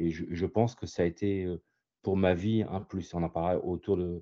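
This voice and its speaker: With a very deep, low pitch, a man speaks in a monotone, flat way at a moderate pace. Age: 60s. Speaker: visually impaired sailor. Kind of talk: interview. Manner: hesitant, many fillers.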